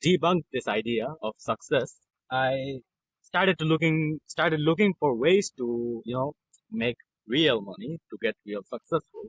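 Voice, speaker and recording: A man speaks fairly slowly with a non-native accent and lively intonation. The sound is dry and close, with no echo. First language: not English. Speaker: copywriter. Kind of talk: interview. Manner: halting.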